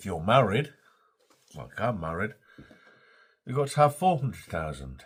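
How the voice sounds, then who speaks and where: A man with an English accent speaks at a moderate pace in a fairly low pitch, with vocal fry. His pitch swings very widely and his loudness shifts a lot. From England. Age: 60s. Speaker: vlogger. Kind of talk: casual vlog monologue. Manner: halting, repetitive.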